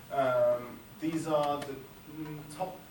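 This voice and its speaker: The recording has audible room echo. Noticeable background noise is also present. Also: man. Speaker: climate scientist. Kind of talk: lecture. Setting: lecture hall with audience. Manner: halting; soft-spoken. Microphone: no microphone.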